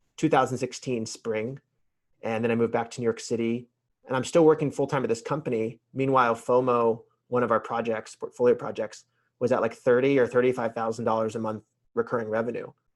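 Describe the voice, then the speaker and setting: Against a quiet background, a man with a medium pitch talks at a very fast pace in a monotone, flat delivery. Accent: American. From US South, Atlanta. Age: 30s. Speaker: entrepreneur. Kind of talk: podcast interview.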